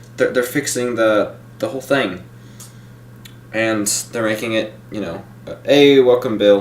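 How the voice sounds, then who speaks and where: A man speaks at a fairly slow pace in a medium pitch with ordinary pitch variation, big swings in loudness and long, frequent pauses. Noticeable background noise and audible room echo surround him. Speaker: YouTube film reviewer. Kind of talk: live stream review. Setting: live stream. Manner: slow, halting.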